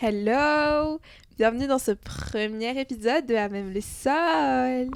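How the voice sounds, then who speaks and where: Very slow and high-pitched, a woman talks with lively intonation and big swings in loudness. The recording is very clean, its background silent. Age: 20s. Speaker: student podcast co-host. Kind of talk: casual chat. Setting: home recording.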